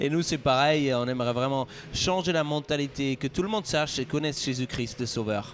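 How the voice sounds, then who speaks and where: Speaking at a fairly quick pace, a man has a slight Swiss French accent. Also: fairly high pitch for a man, ordinary pitch variation. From Switzerland. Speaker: pastor. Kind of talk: interview.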